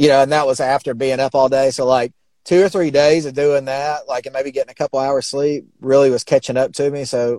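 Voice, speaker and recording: A man with a Southern US accent speaks at a fairly quick pace in a dark, mellow tone of medium pitch, with fairly even intonation and a dry, close sound with no echo. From Alabama, US South. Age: 40s. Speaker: sign and mural painter. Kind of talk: casual interview chat.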